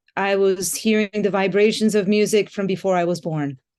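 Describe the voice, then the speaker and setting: A woman with an American accent, medium in pitch with a dark, mellow tone and fairly even intonation, over a quiet background. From US and Japan, mostly Los Angeles and New York. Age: 60s. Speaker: musician. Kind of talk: interview.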